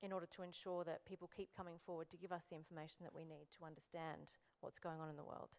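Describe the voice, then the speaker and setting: A woman's fairly low-pitched voice in an Australian accent, at a very fast pace. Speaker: human rights lawyer. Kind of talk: panel discussion.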